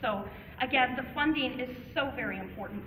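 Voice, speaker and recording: With an American accent, a woman talks at a fairly quick pace and fairly even intonation, amid noticeable background noise and audible room echo. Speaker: parent advocate. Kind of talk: public speech. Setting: public meeting at a podium. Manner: fast.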